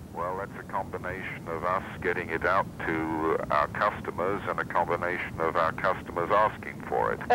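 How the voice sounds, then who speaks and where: Against noticeable background noise, a man with a British accent and a very deep, low pitch speaks in a monotone, flat intonation at a moderate pace with hardly any pauses. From England, London. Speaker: company president. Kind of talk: interview about his career. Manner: formal.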